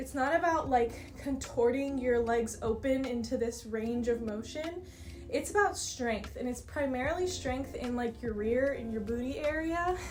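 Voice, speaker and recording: Speech at a moderate pace with ordinary pitch variation comes through audible room echo, with music in the background. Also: woman, high pitch for a woman. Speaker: dance teacher and content creator. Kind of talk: tutorial. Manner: casual and chatty.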